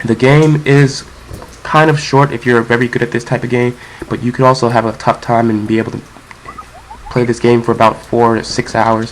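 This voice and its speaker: A man at a fairly quick pace in a medium pitch, monotone and flat, with long, frequent pauses and noticeable background noise. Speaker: game reviewer. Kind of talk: video game review narration. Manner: casual.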